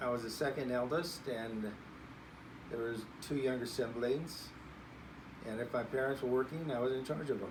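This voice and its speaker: Speaking at a moderate pace with long, frequent pauses, a man with an American accent uses medium pitch and fairly even intonation over noticeable background noise and audible room echo. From California Central Valley. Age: 70s. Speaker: grandparent interviewee. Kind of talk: interview.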